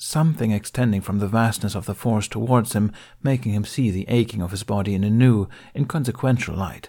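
The voice is an unforced reading voice. It reads without strain from start to finish.

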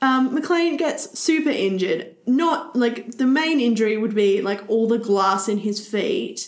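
Using a normal speaking voice, a woman talks at a moderate pace with a fairly high pitch and lively intonation. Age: 30s. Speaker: podcast co-host. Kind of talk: casual chat.

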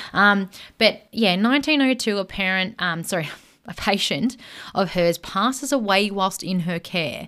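A woman's bright, sharp tone at medium pitch, with lively intonation and a moderate pace, on a very clean recording with a silent background. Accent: Australian. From Australia. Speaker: podcast co-host. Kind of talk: casual chat storytelling.

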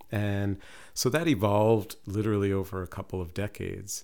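Soft-spoken and fairly low-pitched, a man talks at a moderate pace with fairly even intonation, recorded very cleanly with a silent background. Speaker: professor and poet. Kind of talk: interview chat.

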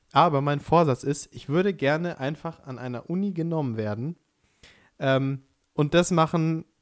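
Here a man talks in an unremarkable speaking voice. His pace is moderate, with ordinary pitch variation. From Upper Bavaria. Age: 20s. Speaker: podcast co-host, aspiring musical performer. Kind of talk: casual chat. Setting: Skype call.

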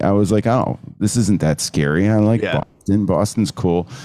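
The speaker has an American accent, a dark, mellow tone and ordinary pitch variation, talking at a moderate pace. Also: man. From New Jersey. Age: 50s. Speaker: photographer. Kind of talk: casual interview.

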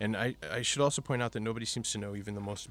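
A man with an American accent talks at a very fast pace with vocal fry and fairly even intonation, on a very clean recording with a silent background. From Milwaukee, Wisconsin. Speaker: freelance reporter. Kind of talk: interview. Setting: studio. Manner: halting, many fillers.

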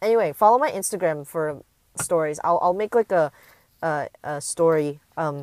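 A woman with an American accent and a fairly low pitch speaks at a moderate pace, with a dry, close sound, no echo and a very clean recording over a silent background. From US West Coast, San Francisco Bay Area. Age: young. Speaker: podcaster and YouTuber. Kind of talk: casual monologue. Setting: outdoors in a park. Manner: hesitant, many fillers.

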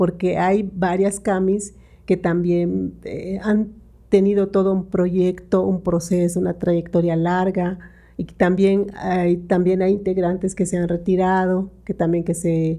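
A dark, mellow tone in a monotone, flat delivery at a fairly slow pace, against a quiet background. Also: woman. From Mexico, Yucatán. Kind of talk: interview conversation. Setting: studio.

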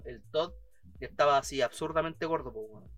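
With a Chilean accent, a man talks at a fairly quick pace in a fairly high pitch. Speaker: podcast co-host. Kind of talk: casual chat. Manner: animated.

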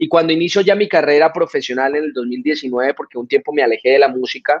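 Fairly quick speech from a man, fairly high in pitch, in a plain, everyday voice. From Colombia (Florencia, Caquetá). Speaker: reggaeton singer. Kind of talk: interview.

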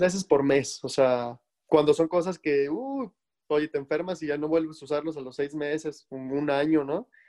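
Dark, mellow male tone, dry and close, without echo. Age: 20s. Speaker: life and wellness coach. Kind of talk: interview testimony. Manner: halting, many repetitions.

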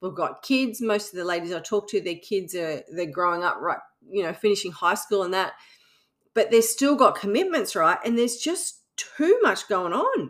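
Speaking with an Australian accent, a woman uses lively intonation at a medium pitch and moderate pace. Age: 50s. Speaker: podcast host, fitness coach. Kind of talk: casual monologue. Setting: home recording under air conditioning.

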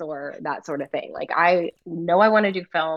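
With an American accent, a woman talks at a moderate pace in a fairly low pitch with ordinary pitch variation, an unremarkable speaking voice. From US South, North Carolina. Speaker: event business owner, former ocean engineer. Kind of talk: casual interview.

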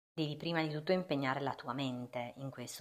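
The recording is very clean, its background silent. Speaking here is a woman whose pitch is very deep and low. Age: 40s. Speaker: postpartum fitness and wellbeing coach, podcast host. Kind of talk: solo podcast monologue.

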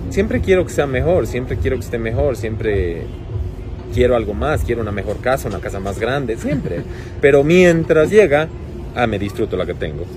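A man at a medium pitch talks at a moderate pace with very wide pitch swings. Audible room echo and noticeable background noise surround him. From Ecuador, Cuenca. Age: 40s. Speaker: fashion designer. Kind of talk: interview.

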